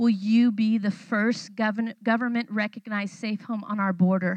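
A woman's somewhat breathy voice with an animated tone. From California, Mexican-American family. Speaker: missionary. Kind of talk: sermon. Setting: church.

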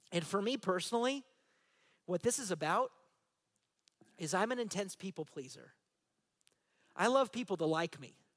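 A man with a high voice talks at a moderate pace, with long, frequent pauses. The intonation is lively, the tone animated, and the sound dry and close with no echo. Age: 40s. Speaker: pastor. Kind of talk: sermon. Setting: church.

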